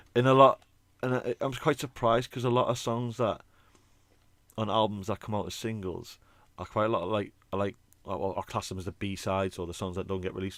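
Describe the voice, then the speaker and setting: Against a silent background in a very clean recording, a man talks at a fairly quick pace with long, frequent pauses, his fairly low pitch showing ordinary pitch variation. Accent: British. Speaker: podcast co-host, band singer. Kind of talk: casual chat. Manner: animated.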